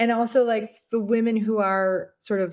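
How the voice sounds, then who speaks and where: On a very clean recording with a silent background, a woman talks in an ordinary speaking voice at medium pitch with ordinary pitch variation. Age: 50s. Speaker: founder of a women's community space. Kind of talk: casual chat.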